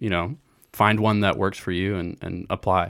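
A man talks at a moderate pace in a fairly low pitch, using fairly even intonation and an unremarkable speaking voice. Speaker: watchmaker. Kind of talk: casual interview chat.

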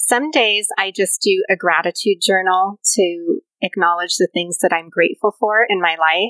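A soft-spoken woman talks at a moderate pace and medium pitch. Her tone is bright and sharp, and the sound is dry and close with no echo. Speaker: pilates and yoga instructor. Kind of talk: casual interview chat. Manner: soft, nurturing.

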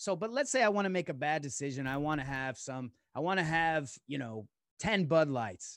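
A man in an unremarkable speaking voice talks at a moderate pace and fairly high pitch, with lively intonation. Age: 40s. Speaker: author and businessman. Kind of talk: casual chat.

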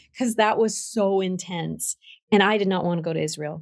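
A woman with an American accent, fairly low pitch, ordinary pitch variation, an ordinary speaking voice, and a fairly quick pace. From Vermont, US. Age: 60s. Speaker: ministry founder. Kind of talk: testimony.

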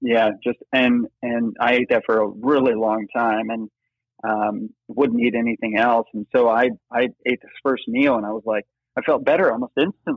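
With an American accent, a man speaks at a moderate pace and medium pitch, his intonation fairly even. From Ohio, US Midwest. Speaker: yoga teacher in recovery from addiction. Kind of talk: casual interview. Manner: halting, many fillers and repeated words.

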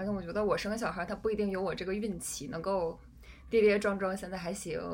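A woman's medium-pitched voice with fairly even intonation, amid noticeable background noise and audible room echo. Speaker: podcast host. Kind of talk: casual chat. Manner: halting.

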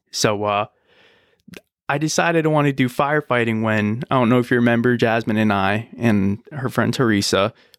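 With an American accent and an ordinary speaking voice, a man speaks at a medium pitch and a fairly quick pace, his pitch variation ordinary, in a very clean recording with a silent background. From US, Buffalo NY and Richmond, Virginia. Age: 20s. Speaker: air force veteran and firefighter. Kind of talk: interview.

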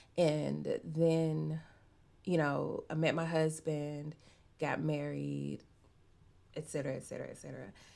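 With an American accent, a woman talks at a very slow pace, leaving long, frequent pauses. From Arkansas, US South. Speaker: romance novelist. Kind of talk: interview.

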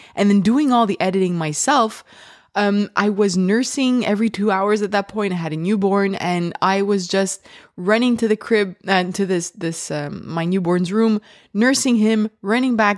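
This woman speaks with a French accent at a moderate pace. Her pitch sits in the medium range and varies in an ordinary way. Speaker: podcast host. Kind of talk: casual interview chat.

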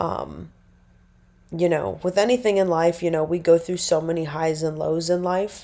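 Speaking at a moderate pace with fairly even intonation, a woman with an American accent has a fairly low pitch and a dark, mellow tone. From Nebraska. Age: 20s. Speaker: podcaster. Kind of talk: casual monologue. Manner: rambling, chatty.

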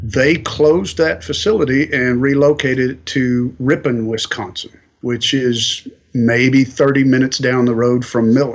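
With a slight Southern US accent, a man talks at a fairly slow pace and with ordinary pitch variation. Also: medium pitch for a man. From Kentucky, US South. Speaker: welding industry manager. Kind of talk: interview. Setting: on location.

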